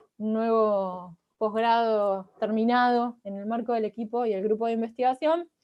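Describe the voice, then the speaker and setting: Fairly high-pitched female voice, intonation fairly even. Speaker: researcher and political scientist. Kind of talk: academic lecture. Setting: video call.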